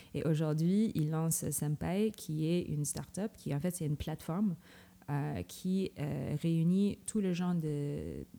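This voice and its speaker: The speaker talks at a very slow pace with a non-native accent. Loudness stays very even, and the intonation is fairly even. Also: woman, very deep, low pitch for a woman. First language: not French (speaking French). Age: 30s. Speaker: tech programme director. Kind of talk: interview. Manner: halting.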